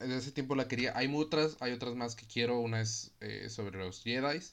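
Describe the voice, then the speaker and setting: With a Mexican accent, a man talks at a moderate pace and shows ordinary pitch variation. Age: 20s. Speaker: podcast host. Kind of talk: casual monologue. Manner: casual, filler-heavy.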